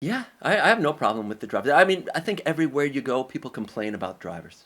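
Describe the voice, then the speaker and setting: A man with an American accent talks at a very fast pace, his pitch fairly high and swinging very widely. Vocal fry runs through his speech. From New York, Brooklyn. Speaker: English professor. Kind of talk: podcast interview.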